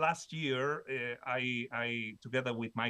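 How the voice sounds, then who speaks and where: A man with a Spanish accent and a bright, sharp tone. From Spain. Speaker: professor. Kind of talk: conference presentation. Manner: halting, many fillers and repetitions.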